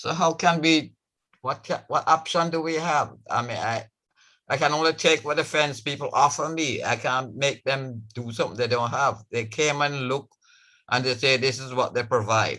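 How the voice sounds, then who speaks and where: A man talks at a moderate pace with a fairly high pitch and ordinary pitch variation. His tone is bright and sharp, and the background is quiet. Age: 80s+. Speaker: homeowner applicant. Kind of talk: public meeting testimony.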